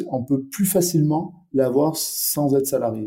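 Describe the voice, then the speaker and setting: Speaking at a very slow pace, a man with a dark, mellow tone sounds somewhat breathy, his fairly high pitch showing ordinary pitch variation. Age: 40s. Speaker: startup founder and CEO. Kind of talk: interview. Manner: halting, with repetitions and fillers.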